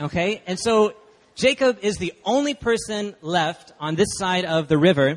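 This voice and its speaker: Using lively intonation, a man with an American accent and a high pitch speaks at a fairly slow pace. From Texas (Dallas). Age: 20s. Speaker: guest preacher. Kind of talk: sermon. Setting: church.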